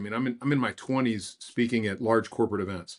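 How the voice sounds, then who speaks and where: Speaking very fast, a man holds a medium pitch in a monotone, flat intonation. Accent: Texan. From West Texas. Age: 60s. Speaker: business consultant and speaker. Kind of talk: podcast interview.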